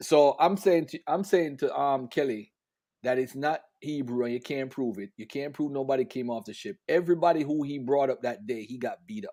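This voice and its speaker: A man with a Jamaican accent speaks at a fairly quick pace in a fairly high pitch, with a dark, mellow tone and ordinary pitch variation. His loudness swings widely, and the recording is very clean with a silent background. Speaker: religious debater. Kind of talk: livestream discussion.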